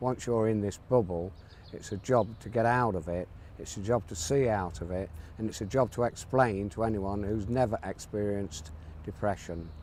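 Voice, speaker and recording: Fairly low male speech, moderately paced, its pitch varying in an ordinary way. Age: 60s. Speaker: cancer patient. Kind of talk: testimony. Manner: halting, with repetitions.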